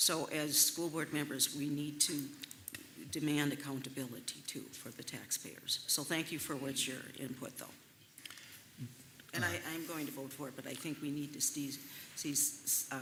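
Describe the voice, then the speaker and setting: Soft-spoken, a woman with a very deep, low pitch talks in a monotone, flat way with long, frequent pauses, audible room echo and noticeable background noise. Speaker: school board member. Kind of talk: public meeting discussion. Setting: school board meeting. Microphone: too quiet, far from the mic.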